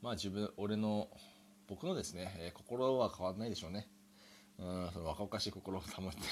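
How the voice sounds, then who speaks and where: A man with a fairly low pitch speaks moderately fast, his pitch varying in an ordinary way. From Japan. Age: 30s. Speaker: podcaster. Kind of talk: solo improvised monologue. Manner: hesitant, many fillers.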